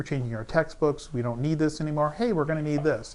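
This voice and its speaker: At a very fast pace, a man speaks in a fairly high pitch. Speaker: chemical safety trainer. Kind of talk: webinar presentation. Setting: online webinar. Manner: halting, many fillers.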